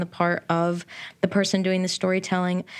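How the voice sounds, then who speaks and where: This is a woman speaking. Her pitch is fairly low. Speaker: podcast host. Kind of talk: scripted intro and interview.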